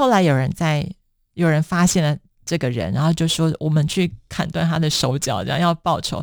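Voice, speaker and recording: A woman with an unremarkable speaking voice, fairly low pitch and ordinary pitch variation, at a moderate pace in a very clean recording with a silent background. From Taiwan. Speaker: author. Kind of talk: interview.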